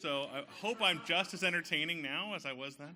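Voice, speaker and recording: Very wide pitch swings and vocal fry run through this man's voice. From central California, small town. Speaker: bank community manager. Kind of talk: self-introduction at business networking event. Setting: stage with audience. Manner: unprepared, casual.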